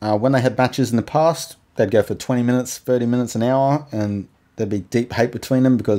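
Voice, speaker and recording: A man's dark, mellow voice with an Australian accent, ordinary pitch variation and a very fast pace. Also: very clean recording, silent background. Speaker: podcast host. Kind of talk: solo monologue podcast.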